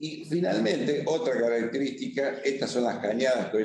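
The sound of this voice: In a room with audible echo, a man speaks with a slightly mellow tone.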